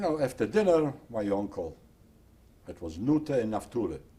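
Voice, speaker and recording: A man talks with a dark, mellow tone and a somewhat breathy quality. His intonation is lively. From Poland. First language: Polish or Yiddish. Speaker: Holocaust survivor. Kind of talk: oral history interview.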